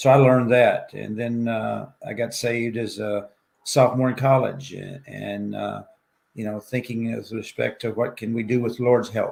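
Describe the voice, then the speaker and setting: A man with a Southern US accent, moderate pace, big swings in loudness. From Arkansas, US South. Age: 70s. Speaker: ultrarunner and professor. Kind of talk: interview chat.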